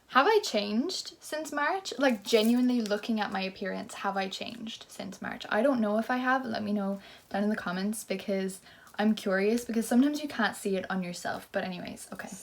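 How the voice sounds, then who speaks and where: Speaking in an Irish accent, this voice moves at a fairly quick pace with ordinary pitch variation. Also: woman, fairly high pitch for a woman. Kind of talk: casual vlog chat. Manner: animated.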